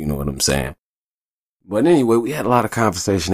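The sound is close and dry, without any echo. It is a man who speaks. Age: 30s. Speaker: podcast host. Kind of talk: casual monologue. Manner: animated.

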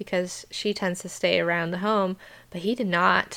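Her voice has a fairly low pitch and a bright, sharp tone, with an American accent. This woman is heard in a very clean recording with a silent background. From United States. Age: 30s. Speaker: podcast host and homesteader. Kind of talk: casual Bible devotional monologue. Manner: conversational, with frequent fillers.

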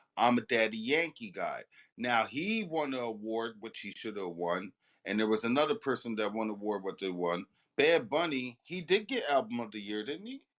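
A man with a normal speaking voice talks at a moderate pace, medium in pitch, with lively intonation. The recording is very clean, the background silent. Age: 40s. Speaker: underground rap artist. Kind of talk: casual chat.

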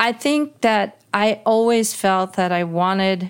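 A woman with an American accent speaks at a fairly slow pace in a medium pitch, using a plain, everyday voice. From New York City. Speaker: singer, composer and author. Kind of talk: interview.

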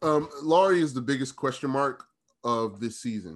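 A man speaks at a moderate pace in an ordinary speaking voice, with medium pitch and ordinary pitch variation. The background is quiet. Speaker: sports journalist. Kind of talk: casual interview chat.

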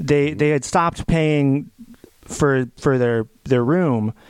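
The sound is dry and close, with no echo. A man speaks with a fairly high pitch and ordinary pitch variation. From Connecticut, New England. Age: 20s. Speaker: podcast host. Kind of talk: casual chat. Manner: halting, many fillers and repeated words.

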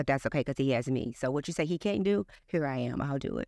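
With an American accent, a woman speaks at a very deep, low pitch in a dry, close sound with no echo. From East St. Louis, Illinois. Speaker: business owner. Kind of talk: interview.

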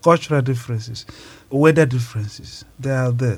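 A man with a medium pitch talks with ordinary pitch variation. His voice is somewhat breathy. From Nigeria, Igbo region (Imo State). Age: 30s. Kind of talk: interview.

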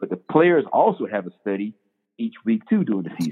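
Someone talks at a very fast pace with lively intonation in a North Carolina accent. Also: man. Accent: US Southern, North Carolina. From eastern North Carolina, Bladenboro. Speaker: football coach. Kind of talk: interview, testimony.

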